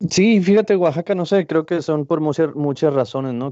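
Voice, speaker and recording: Here a man speaks with ordinary pitch variation. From Mexico-US border, Ciudad Juárez and El Paso. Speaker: printmaker and art student. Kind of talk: interview. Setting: at home. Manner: halting, many fillers.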